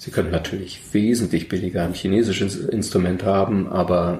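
Noticeable background noise sits behind a man whose very deep, low voice moves at a moderate pace with fairly even intonation. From Berlin, Germany. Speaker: violin maker. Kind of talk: interview. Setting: workshop.

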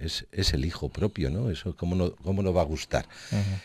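A man's very deep, low-pitched voice against a quiet background. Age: 60s. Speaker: winery owner. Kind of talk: interview.

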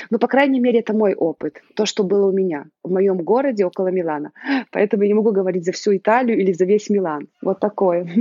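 This woman talks at a very fast pace with a medium pitch. Her pitch varies in an ordinary way. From Belarus. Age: 30s. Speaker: mother living abroad. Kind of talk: interview. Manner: animated.

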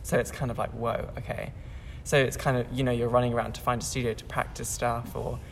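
A man talking at a very fast pace over music in the background. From Bosnia. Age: young. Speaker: ballet dancer. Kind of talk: casual chat.

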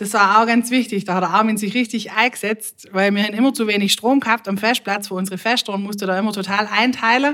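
At a very fast pace, a woman speaks in a fairly high voice. Her intonation stays fairly even. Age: 40s. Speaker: music club manager and clarinetist. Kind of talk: casual interview chat.

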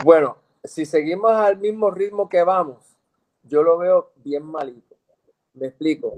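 Speaking at a high pitch with ordinary pitch variation, a man moves at a fairly slow pace and leaves long, frequent pauses. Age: 60s. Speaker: dentist. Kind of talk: interview.

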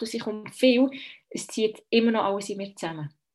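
A woman with a Bernese accent, fairly high in pitch, at a moderate pace with ordinary pitch variation against a quiet background. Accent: Bernese Swiss German. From Switzerland, Bern. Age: 30s. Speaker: midwife. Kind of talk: personal birth story interview. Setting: video call.

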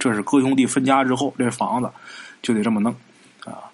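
A man with a medium pitch and ordinary pitch variation goes at a fairly quick pace, noticeable background noise behind him. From Northeast China, Haicheng, Liaoning. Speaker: podcast storyteller. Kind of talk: storytelling narration. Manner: casual, conversational.

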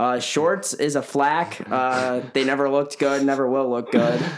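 A man's medium-pitched voice with a Chicago accent, at a fairly slow pace with fairly even intonation and very even loudness, against noticeable background noise. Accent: Chicago-area American. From northern Illinois, Chicago area. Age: young. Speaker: college runner and photographer. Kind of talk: casual interview.

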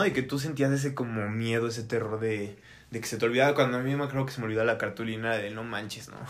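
A man talks fairly quickly, with audible room echo around his voice. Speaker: podcast host. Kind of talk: casual chat. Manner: fast, sometimes stutters.

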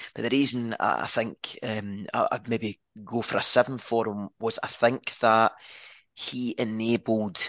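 A man's medium-pitched voice in a Scottish accent, monotone and flat in intonation, at a fairly slow pace. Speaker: football podcast co-host. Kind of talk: casual chat. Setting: video call. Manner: halting.

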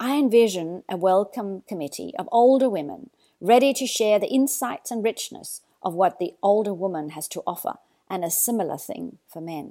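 A woman with an Australian accent, her dark, mellow tone marked by big swings in loudness, lively intonation and a moderate pace. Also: medium pitch for a woman. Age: 60s. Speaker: mindfulness teacher. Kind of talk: reflective monologue.

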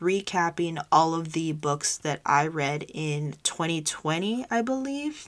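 On a very clean recording with a silent background, a woman talks at a fairly slow pace in a fairly low pitch, with ordinary pitch variation. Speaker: podcast host. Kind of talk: casual solo talk. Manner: energetic.

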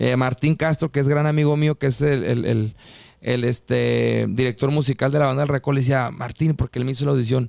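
In a plain, everyday voice, the speaker goes at a fairly quick pace with fairly even intonation and very even loudness, in a dry, close sound with no echo. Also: man, medium pitch for a man. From Mexico, Mexicali (Baja California). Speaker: singer. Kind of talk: casual chat.

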